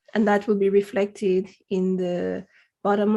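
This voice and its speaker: This woman talks at a moderate pace with a medium pitch. Her tone is dark and mellow, and her intonation stays monotone and flat. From Dominica. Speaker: science business leader, nonprofit founder. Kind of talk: podcast interview.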